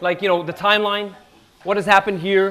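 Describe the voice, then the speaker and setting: Loud and very fast, a man speaks at a high pitch with fairly even intonation. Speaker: history lecturer. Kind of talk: lecture.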